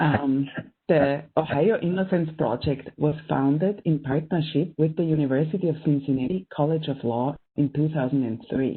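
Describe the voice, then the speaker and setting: Speaking at a moderate pace, a woman with a strong German accent uses a very deep, low pitch and ordinary pitch variation. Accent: thick German. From Austria. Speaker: professor and event moderator. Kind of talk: panel event introduction. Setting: online video event.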